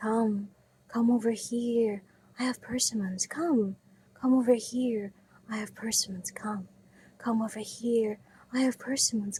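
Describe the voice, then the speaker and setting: Using a put-on character voice at a fairly high pitch, a woman speaks at a fairly slow pace with long, frequent pauses. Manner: flat, emotionless monotone.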